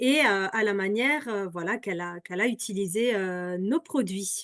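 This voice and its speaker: With lively intonation and a fairly high pitch, a woman with an unremarkable speaking voice talks at a moderate pace. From Alsace, France. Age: 30s. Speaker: product seller. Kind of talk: presentation. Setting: video call.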